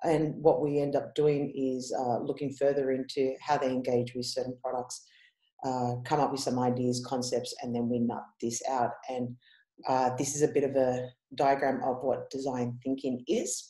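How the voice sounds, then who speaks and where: A woman with an Australian accent speaks at a moderate pace, her very deep, low pitch delivered in a dark, mellow tone with monotone, flat intonation. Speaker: head of user experience. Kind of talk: conference presentation. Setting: online conference. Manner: casual, many fillers.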